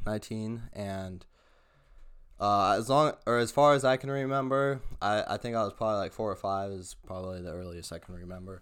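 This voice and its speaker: Here is a man with an ordinary speaking voice at a fairly low pitch. His pace is moderate and his pitch variation ordinary. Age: 20s. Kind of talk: testimony.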